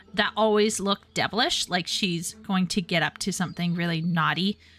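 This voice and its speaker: Over music in the background, a woman speaks with a Canadian accent and ordinary pitch variation. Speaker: streamer. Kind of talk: casual chat.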